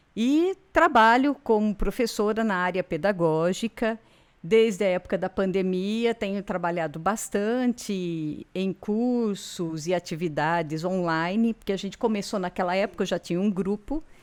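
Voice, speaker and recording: A woman's unremarkable speaking voice at medium pitch, fairly slow with hardly any pauses, in a very clean recording over a silent background. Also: ordinary pitch variation. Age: 60s. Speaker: university professor of education. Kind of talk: interview chat.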